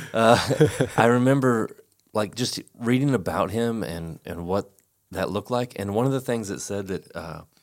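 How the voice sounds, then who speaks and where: In a very clean recording with a silent background, a man with a fairly low pitch and lively intonation uses a normal speaking voice at a moderate pace. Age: 50s. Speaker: pastor. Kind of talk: casual chat.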